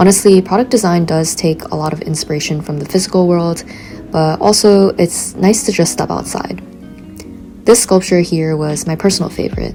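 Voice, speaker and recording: A woman with a fairly low-pitched voice talks over background music. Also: ordinary pitch variation, moderate pace. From San Francisco. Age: 20s. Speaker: grad student in product design. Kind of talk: vlog voiceover narration.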